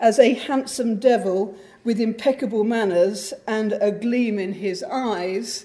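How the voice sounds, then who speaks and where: A woman's very slow delivery with ordinary pitch variation. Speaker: host introducing the lecturer. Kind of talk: formal introduction speech. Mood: warm, lightly humorous. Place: hall. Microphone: podium.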